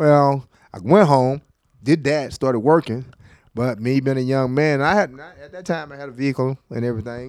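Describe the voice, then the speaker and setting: This man speaks at a moderate pace in a Tennessee accent, his loudness swinging widely. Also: medium pitch for a man, ordinary pitch variation. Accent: US Southern (Tennessee). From West Tennessee, Lexington. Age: 50s. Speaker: fire department district chief and Navy veteran. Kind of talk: casual interview.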